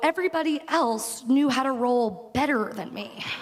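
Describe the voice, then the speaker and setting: A woman with a high-pitched voice talks at a fairly slow pace with ordinary pitch variation, and noticeable background noise can be heard. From working class Long Island. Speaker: graduating student speaker. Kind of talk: commencement speech. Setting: stage with audience.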